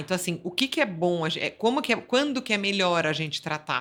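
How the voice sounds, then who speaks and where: At a moderate pace, a woman speaks with lively intonation and a bright, sharp tone. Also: very clean recording, silent background. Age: 50s. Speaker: physiotherapist. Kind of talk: interview. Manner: halting, with repetitions.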